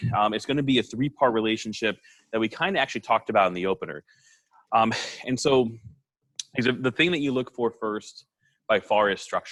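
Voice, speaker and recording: A man talks very fast at a medium pitch with ordinary pitch variation and long, frequent pauses, the sound dry and close with no echo. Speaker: high school math teacher. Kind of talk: lecture. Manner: casual with many fillers.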